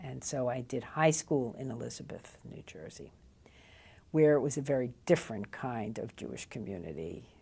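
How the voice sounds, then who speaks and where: A woman with a very deep, low voice and vocal fry speaks at a moderate pace with lively intonation and big swings in loudness, in a very clean recording with a silent background. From New Jersey, USA. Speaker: college professor. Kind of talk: interview answer.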